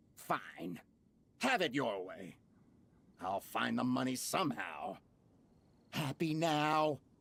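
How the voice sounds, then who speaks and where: Using a put-on character voice at a medium pitch, a man makes very wide pitch swings and takes long, frequent pauses. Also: fairly slow pace. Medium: video game. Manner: blustering, stammering.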